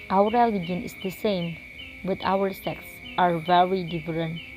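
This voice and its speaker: Music plays in the background as a woman speaks with a Javanese accent. Her pitch is medium, with ordinary variation. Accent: Indonesian (Javanese). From Indonesia, Java. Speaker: university student. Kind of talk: scripted narration.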